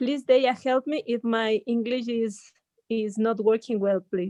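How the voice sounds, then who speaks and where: A woman speaks at a fairly high pitch with a dark, mellow tone and fairly even intonation. The sound is dry and close, with no echo. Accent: Latin American. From Ecuador. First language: Spanish. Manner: halting.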